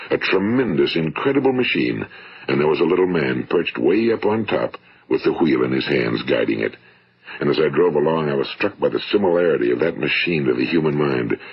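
In an American accent, a man speaks at a fairly quick pace with a very deep, low pitch and very even loudness. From United States. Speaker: radio speaker and motivational author. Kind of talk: motivational spoken-word record. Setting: vintage 1950s studio recording. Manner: measured, earnest, persuasive. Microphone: old recording.

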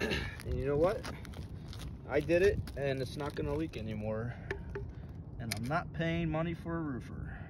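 The man's moderate-paced speech has a dry sound with no echo, though noticeable background noise is there. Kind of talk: tutorial. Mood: casual, encouraging. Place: open country. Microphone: phone near.

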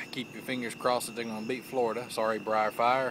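Against noticeable background noise, a man speaks in a monotone, flat way, the sound dry with no echo. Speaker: pipe hobbyist vlogger. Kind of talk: casual vlog chat. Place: garden. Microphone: phone near.

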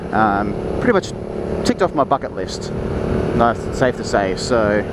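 Loud background noise sits under moderately paced speech with a dry sound and no echo. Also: man. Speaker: motorcycle rider vlogger. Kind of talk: casual vlog chat. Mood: excited, relaxed. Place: motorbike. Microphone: helmet.

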